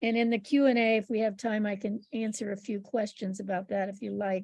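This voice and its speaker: With an American accent, a woman speaks fairly quickly in a somewhat breathy, fairly high voice, her intonation monotone and flat. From United States. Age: 70s. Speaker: author. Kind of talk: presentation.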